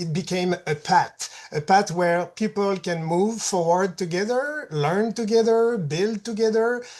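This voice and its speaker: A woman's voice with hardly any pauses and ordinary pitch variation. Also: medium pitch for a woman, fairly slow pace. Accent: Quebec. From Quebec. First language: French. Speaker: patient partner. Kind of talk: presentation. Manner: reads closely from prepared text.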